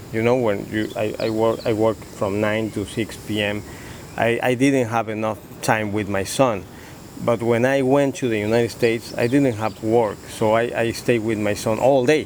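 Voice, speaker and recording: Over noticeable background noise, a man with a Spanish accent speaks at a moderate pace. His pitch is medium and his intonation monotone and flat. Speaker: father in family dispute. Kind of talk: interview. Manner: halting.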